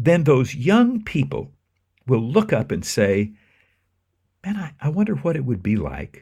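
In a very clean recording with a silent background, a man with a dark, mellow tone and vocal fry speaks at a fairly slow pace, his pitch swinging very widely. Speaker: minister. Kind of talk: interview.

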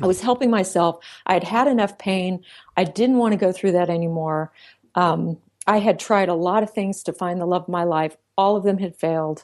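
Against a quiet background, a woman speaks at a fairly quick pace and medium pitch, with ordinary pitch variation and an unremarkable speaking voice. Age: 40s. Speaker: psychologist and relationship author. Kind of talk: interview.

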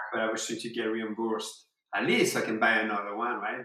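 The speech comes at a very fast pace with ordinary pitch variation. It carries a French accent. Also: man. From southwest France. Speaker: surfer. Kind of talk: casual chat. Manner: halting.

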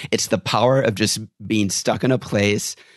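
This man has a plain, everyday voice, talking at a moderate pace with fairly even intonation in a dry, close sound with no echo against a quiet background. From rural Wisconsin, US. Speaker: tour guide trainer. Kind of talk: casual interview.

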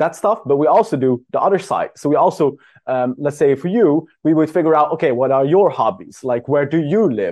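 With music in the background, a man talks at a fairly quick pace in a fairly high voice with ordinary pitch variation. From Netherlands. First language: Dutch. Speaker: dating service founder. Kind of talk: interview podcast.

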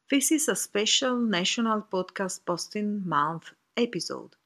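On a very clean recording with a silent background and a dry, close sound free of echo, a woman with an Italian accent speaks very slowly at a medium pitch, her pitch swinging very widely. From Italy. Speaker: author. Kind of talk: recorded personal reflection. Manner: halting.

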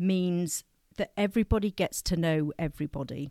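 A woman with an English accent, heard in a dry, close sound with no echo. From England, partly raised in France. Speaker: school pastoral coordinator. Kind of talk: interview.

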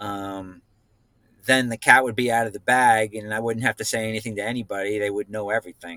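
With an American accent, a man speaks at a fairly quick pace in a fairly low, monotone, flat delivery. His tone is bright and sharp, and the sound is dry and close with no echo. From New Jersey. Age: 50s. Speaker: guest sharing personal story. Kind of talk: casual chat.

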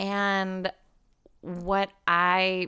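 Bright and sharp in tone, a woman with an American accent speaks at a medium pitch. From US Midwest, Chicago. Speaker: rabbi. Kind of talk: interview conversation. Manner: halting, many fillers.

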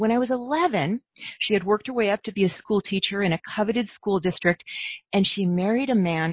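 A woman's fairly quick delivery carries a somewhat breathy quality. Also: medium pitch for a woman, ordinary pitch variation, very even loudness. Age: 50s. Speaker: inner tracking coach. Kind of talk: interview, personal storytelling.

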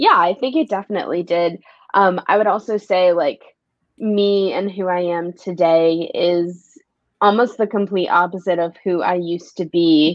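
A woman with a plain, everyday voice talks at a moderate pace with fairly even intonation. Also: medium pitch for a woman. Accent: American. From New York City, the Bronx. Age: 20s. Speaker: social media influencer. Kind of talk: casual chat.

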